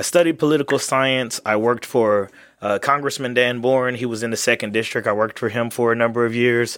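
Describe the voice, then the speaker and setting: With a normal speaking voice and an American accent, a man talks at a fairly quick pace, his pitch medium and his intonation fairly even. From Texas and Louisiana. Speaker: congressional candidate. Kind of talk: interview.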